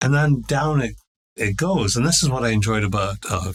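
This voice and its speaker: A man's somewhat breathy voice goes at a moderate pace, rising and falling with ordinary pitch variation. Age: 60s. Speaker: professor of English and philosophy. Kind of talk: casual chat. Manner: halting, many repeated words.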